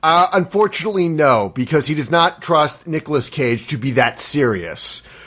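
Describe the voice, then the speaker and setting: In an American accent, a man with a fairly high pitch speaks at a moderate pace with lively intonation. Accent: American, per others' comment on his accents. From United States. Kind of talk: casual chat. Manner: halting, with fillers.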